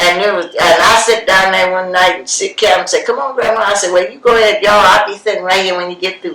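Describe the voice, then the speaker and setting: Fairly quick speech from a woman, noticeable background noise behind it. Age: 80s+. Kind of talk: oral history interview answer. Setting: home recording on cassette.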